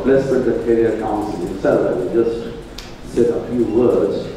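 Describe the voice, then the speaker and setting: A man at a moderate pace amid light background noise and strong room echo. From India (Bengal). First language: Bengali. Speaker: college principal and monk. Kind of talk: formal address. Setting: auditorium with amplifier. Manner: halting. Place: hall.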